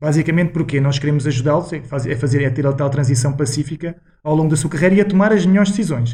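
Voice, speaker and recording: Speaking at a very fast pace with a European Portuguese accent, a man uses a fairly high, somewhat breathy voice with a dark, mellow tone and ordinary pitch variation. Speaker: former footballer and financial consultant. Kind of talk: podcast interview.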